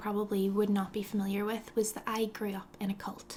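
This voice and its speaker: In a Northern Irish accent, a woman speaks with a fairly high pitch. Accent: Northern Irish (Belfast). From Northern Ireland, Belfast. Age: 20s. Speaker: lifestyle blogger. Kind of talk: casual vlog talk to camera. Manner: animated.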